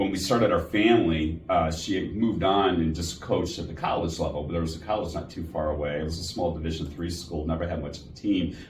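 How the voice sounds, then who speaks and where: With a Chicago accent, a man with a very deep, low pitch talks very fast with hardly any pauses and fairly even intonation, noticeable background noise behind him. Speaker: healthcare executive. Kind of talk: interview.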